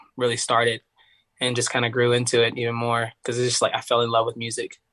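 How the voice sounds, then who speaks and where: The speaker is a man with an East Tennessee accent. The background is quiet. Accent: East Tennessee Southern. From US South, Tennessee (Knoxville area). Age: 20s. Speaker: singer. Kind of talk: casual chat. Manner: casual, filler-heavy.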